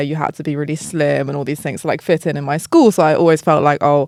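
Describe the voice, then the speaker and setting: A woman talks fairly quickly. Her recording is very clean, the background silent. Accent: English. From southern England. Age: 30s. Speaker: travel content creator. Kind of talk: casual chat. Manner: casual, filler-heavy.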